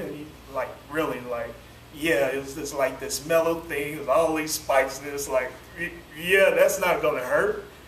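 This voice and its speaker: A man speaks at a moderate pace in a fairly high voice with ordinary pitch variation, with audible room echo and light background noise. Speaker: preacher. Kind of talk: sermon. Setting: church. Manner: calm, doesn't yell. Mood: warm, relaxed, smiling. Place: classroom. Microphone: camera far.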